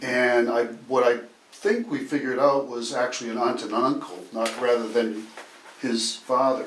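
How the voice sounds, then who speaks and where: A man is talking at a moderate pace. Noticeable background noise is present. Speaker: oral history interviewer. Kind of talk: casual conversational interview questions.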